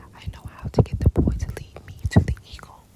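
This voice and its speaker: Whispering comes at a moderate pace. Noticeable background noise sits behind it. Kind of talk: ASMR bedtime story reading of a children's book. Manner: whispered, soft.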